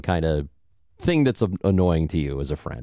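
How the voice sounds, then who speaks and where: A man with an American accent speaks at a fairly quick pace in a dark, mellow tone. The recording is very clean, with a silent background. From southern Illinois. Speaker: podcast co-host. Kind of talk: casual chat.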